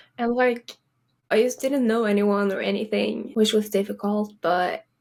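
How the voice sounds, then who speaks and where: Speaking with a strong Swedish accent, a woman talks at a moderate pace and fairly high pitch with ordinary pitch variation. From Sweden. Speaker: college soccer player. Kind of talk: interview.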